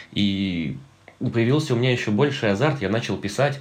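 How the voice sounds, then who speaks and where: A man speaks at a moderate pace. There is audible echo from the room. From Russia, Nizhny Novgorod region (Sarov). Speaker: actor and blogger. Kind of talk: casual monologue.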